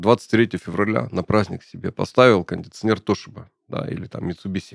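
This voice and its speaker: A man talks at a fairly quick pace and fairly low pitch in an ordinary speaking voice. The recording is dry and close with no echo. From Urals, Russia. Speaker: podcast host. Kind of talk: interview. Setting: studio.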